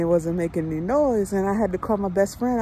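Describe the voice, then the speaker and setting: A woman speaks in a dark, mellow tone with ordinary pitch variation. The sound is dry with no echo, over light background noise. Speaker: truck driver vlogger. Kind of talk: casual vlog chat. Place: street. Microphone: phone near.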